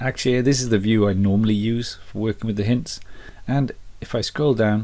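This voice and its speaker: Somewhat breathy and fairly low-pitched, a man talks at a fairly quick pace on a very clean recording with a silent background. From Britain. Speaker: family history youtuber. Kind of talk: tutorial. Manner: casual.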